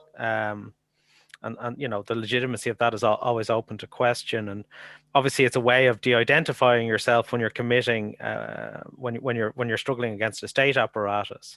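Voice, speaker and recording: This man speaks with an Irish accent at medium pitch, in a bright, sharp tone and a fairly quick pace, his intonation monotone and flat. The sound is dry and close with no echo, over a quiet background. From Ireland. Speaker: academic researcher. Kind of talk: conference Q&A. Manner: halting.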